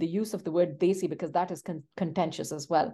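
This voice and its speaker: At a fairly quick pace, a woman with a medium pitch speaks in a Pashto accent. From Pakistan, Pashto-speaking. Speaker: literature professor. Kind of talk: interview.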